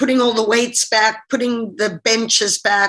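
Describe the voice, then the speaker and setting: A bright, sharp tone with monotone, flat intonation and an American accent. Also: woman. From Zimbabwe. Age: 50s. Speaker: diving coach. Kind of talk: interview on webinar. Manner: casual, conversational.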